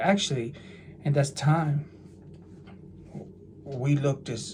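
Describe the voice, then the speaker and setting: A man speaks with an American accent at a very slow pace. His voice is fairly high and somewhat breathy. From New Jersey, US. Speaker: religious YouTuber. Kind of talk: casual monologue. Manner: animated; halting.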